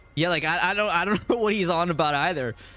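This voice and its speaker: A man with an American accent talks at a fairly quick pace, with music in the background. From US Mid-Atlantic. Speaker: video game streamer. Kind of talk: casual chat. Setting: live stream. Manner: animated.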